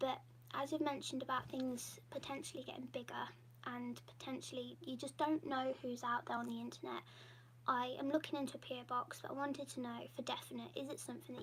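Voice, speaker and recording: Very fast speech in an English accent. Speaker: YouTuber hosting patron livestream. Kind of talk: casual livestream Q&A.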